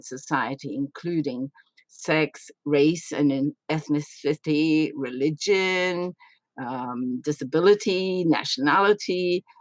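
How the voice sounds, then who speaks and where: This woman's voice sits at a very deep, low pitch with ordinary pitch variation. The sound is dry and close, with no echo. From Australia. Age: 80s+. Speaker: retired UN official, NGO representative. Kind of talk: podcast interview. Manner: hesitant, many fillers.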